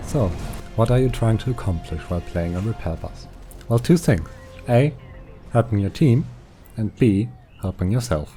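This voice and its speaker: A man with a non-native accent talks at a fairly quick pace with lively intonation. Music plays in the background. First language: not English. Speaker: gaming video creator. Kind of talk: tutorial. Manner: scripted, clear explanation.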